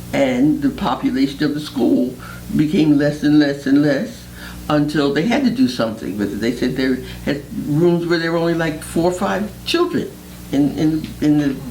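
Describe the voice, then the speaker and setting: Lively intonation marks a woman's very deep, low voice at a moderate pace. Noticeable background noise and audible room echo fill the recording. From Philadelphia, North Philadelphia. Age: 70s. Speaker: retired teacher. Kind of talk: oral history interview.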